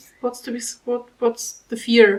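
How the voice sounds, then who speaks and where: A woman talks with a German accent at a fairly slow pace. Her pitch is fairly high. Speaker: commentary youtuber. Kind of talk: reaction commentary.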